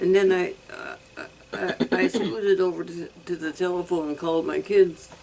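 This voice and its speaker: Moderate pacing with big swings in loudness over noticeable background noise. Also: woman. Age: 90s. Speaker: elderly widow living alone. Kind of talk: interview. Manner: halting.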